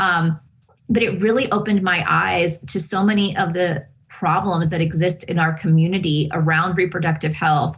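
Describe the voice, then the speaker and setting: Over noticeable background noise, a woman with a fairly low voice and a Spanish accent speaks at a moderate pace with fairly even intonation and very even loudness. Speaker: television host. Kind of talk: interview conversation.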